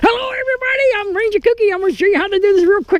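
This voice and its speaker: An extremely high-pitched, put-on character voice at a very fast pace. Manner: quick, obnoxious.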